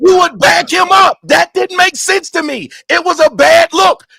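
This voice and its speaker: A man shouts at a moderate pace in an animated tone. The sound is dry and close, with no echo. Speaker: livestream panel host. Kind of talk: heated debate. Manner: loud, yelling.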